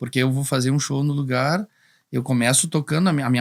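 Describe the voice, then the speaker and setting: Recorded very cleanly with a silent background, a man talks at a very fast pace and a fairly high pitch. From Rio Grande do Sul, São Luís Gonzaga. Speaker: singer-songwriter. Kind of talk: podcast interview. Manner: halting, many repetitions.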